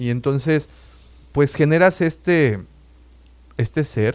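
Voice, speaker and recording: With a Mexican accent, a man speaks at medium pitch. His pace is very slow and his intonation lively. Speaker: podcast co-host. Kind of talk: casual chat.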